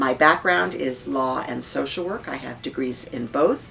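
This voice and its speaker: Noticeable noise sits in the background. Against it, a woman speaks at a moderate pace. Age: 60s. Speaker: politician. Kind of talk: interview.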